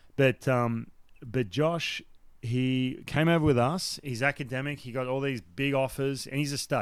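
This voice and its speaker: An Australian accent from a man with a medium-pitched voice. He goes at a moderate pace. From Australia, Newcastle NSW. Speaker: former baseball pitcher and broadcaster. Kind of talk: casual interview chat. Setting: remote call. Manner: animated.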